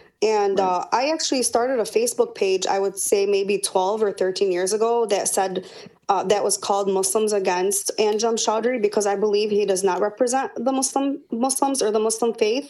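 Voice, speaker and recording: A woman with a Michigan accent speaks at a moderate pace in a fairly high, dark and mellow voice, with ordinary pitch variation and very even loudness. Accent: Michigan American. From Dearborn, Michigan. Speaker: political party official. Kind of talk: interview. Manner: halting, many fillers.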